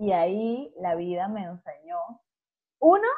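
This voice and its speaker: A woman speaks with a Venezuelan accent. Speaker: podcast co-host. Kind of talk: casual chat.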